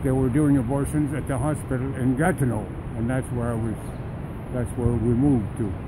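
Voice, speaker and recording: With a Canadian accent, the speaker keeps a fairly even intonation against noticeable background noise and audible room echo. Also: man. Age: 90s. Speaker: pro-life protester. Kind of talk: interview. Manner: halting, many fillers.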